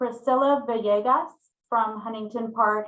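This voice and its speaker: A woman's loud, bright, sharp voice at a fairly high pitch, with ordinary pitch variation and a moderate pace. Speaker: city staff analyst presenting to committee. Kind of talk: formal staff report at public meeting. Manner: speaking up loudly.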